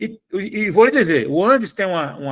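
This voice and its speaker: A man talks at a moderate pace. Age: 60s. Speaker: union federation president. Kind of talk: online union meeting talk.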